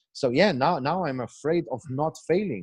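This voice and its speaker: Lively intonation and a moderate pace, with an Eastern European accent against a quiet background. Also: man. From Slovenia. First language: Slovenian. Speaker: failure coach, entrepreneur. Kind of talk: podcast interview. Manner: halting, repeats words.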